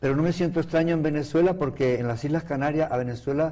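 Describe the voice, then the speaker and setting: A man's dark, mellow tone. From Canary Islands, Spain (Las Palmas de Gran Canaria). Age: 70s. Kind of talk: interview.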